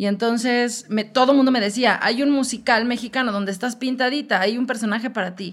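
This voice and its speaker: A plain, everyday voice from a woman, fairly high-pitched, fairly quick and fairly even in intonation, with hardly any pauses on a very clean recording against a silent background. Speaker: musical theatre actress. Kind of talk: casual chat.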